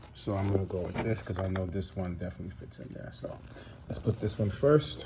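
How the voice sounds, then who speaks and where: A man's very deep, low mumbling voice with lively intonation, big swings in loudness and noticeable background noise. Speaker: DIY car repair youtuber. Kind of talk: tutorial. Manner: casual, halting.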